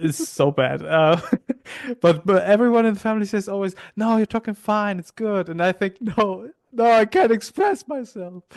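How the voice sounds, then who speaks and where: Here a man speaks with a German accent at a high pitch and a moderate pace. His pitch variation is ordinary, and the sound is dry and close with no echo. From Hamburg, Germany. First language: Polish. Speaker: podcast host. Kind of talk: casual chat.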